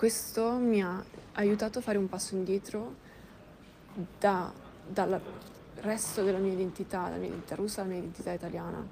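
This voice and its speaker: A woman talks at a fairly quick pace with a dark, mellow tone and medium pitch. Her speech has long, frequent pauses. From Milan, Italy. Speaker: podcast guest sharing personal story. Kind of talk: personal testimony.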